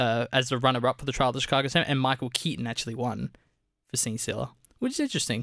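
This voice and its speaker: A medium-pitched man with an Australian accent and fairly even intonation, on a very clean recording with a silent background. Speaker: film podcast co-host. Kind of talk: casual chat.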